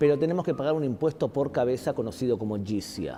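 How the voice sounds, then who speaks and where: Music plays in the background as a man speaks at a medium pitch with lively intonation. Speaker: guest speaker, teacher on religion. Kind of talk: interview answer, lecture-like explanation. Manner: emphatic, rhetorical, challenging the audience.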